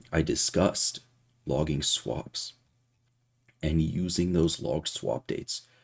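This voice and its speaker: Vocal fry marks this man's very deep, low voice, delivered with fairly even intonation. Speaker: vlogger and stock trader. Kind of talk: casual vlog with screen walkthrough.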